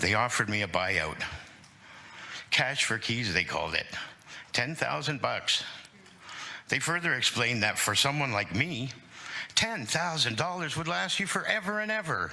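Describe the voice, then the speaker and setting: A man with a Canadian accent at a moderate pace, very wide pitch swings and long, frequent pauses, with audible room echo and noticeable background noise. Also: medium pitch for a man. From Hamilton, Ontario, Canada. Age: 60s. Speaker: tenant advocate delegate. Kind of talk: public testimony to city council. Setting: city council committee meeting.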